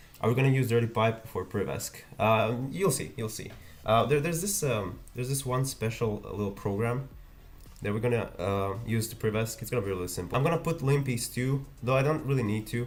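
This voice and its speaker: A man with a Croatian accent talks at a fairly quick pace in a medium pitch. His voice is somewhat breathy, with ordinary pitch variation. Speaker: ethical hacking youtuber. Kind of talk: livestream tutorial. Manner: fast.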